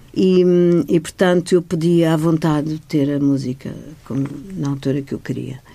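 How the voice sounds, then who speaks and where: Very deep and low in pitch, a woman with a dark, mellow tone and fairly even intonation speaks with long, frequent pauses. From Madeira, Portugal. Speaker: arts foundation director. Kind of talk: radio interview.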